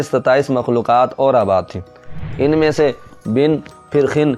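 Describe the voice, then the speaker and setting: A man talks at a medium pitch while music runs in the background. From Pakistan. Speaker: voice-over artist and Quran reciter. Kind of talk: religious history narration.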